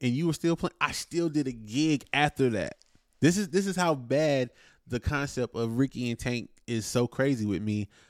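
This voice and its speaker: A man with an American accent and an ordinary speaking voice talks at a moderate pace and medium pitch, his intonation lively. The recording is very clean with a silent background, and the sound is dry and close with no echo. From North Carolina, Wilson. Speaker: musician, drummer. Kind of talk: casual interview.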